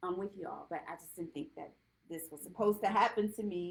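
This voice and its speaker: A woman with a plain, everyday voice speaks at a fairly quick pace with a medium pitch, ordinary pitch variation and an American accent. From Virginia, Richmond. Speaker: domestic violence survivor and speaker. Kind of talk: interview.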